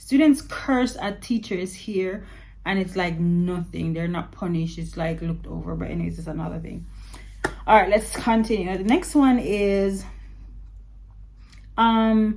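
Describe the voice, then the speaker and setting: A woman speaks at a fairly slow pace in an animated tone, with long, frequent pauses and big swings in loudness. Noticeable background noise runs under her voice. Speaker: vlogger and English teacher abroad. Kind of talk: casual vlog monologue.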